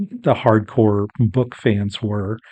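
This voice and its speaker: A man is speaking. The background is quiet. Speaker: podcast host. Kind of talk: solo podcast monologue. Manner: halting, many fillers.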